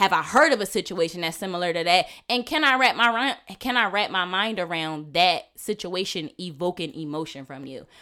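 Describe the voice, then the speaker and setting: Loud and bright with a sharp tone, a woman speaks at a medium pitch and a fairly quick pace with lively intonation, captured on a very clean recording against a silent background. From Philadelphia area, US. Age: 20s. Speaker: podcast guest. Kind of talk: casual chat.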